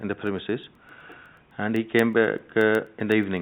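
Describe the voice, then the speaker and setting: Using monotone, flat intonation, a man with a non-native accent and a fairly low pitch speaks at a very fast pace. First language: not English. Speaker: shop licence holder. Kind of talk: testimony at hearing. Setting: council committee room. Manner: halting.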